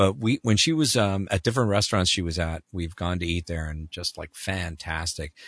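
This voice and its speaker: A man with a Canadian accent talks at a fairly quick pace with hardly any pauses. His pitch is very deep and low. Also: ordinary pitch variation. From Canada. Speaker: voiceover actor. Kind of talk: casual interview chat. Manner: animated.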